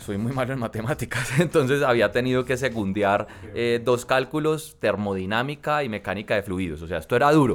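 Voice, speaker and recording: A man's ordinary speaking voice at medium pitch, with lively intonation, a fairly quick pace and hardly any pauses. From Colombia, coffee region (Armenia, Quindío), later Cali. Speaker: congressman. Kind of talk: interview.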